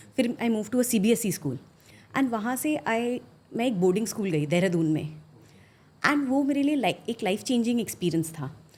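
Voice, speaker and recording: Her pitch swings very widely as this woman talks at a moderate pace. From India, Assam (Guwahati). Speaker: finance professional, former investment banker. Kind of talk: podcast interview. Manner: code-switching Hindi and English, many fillers.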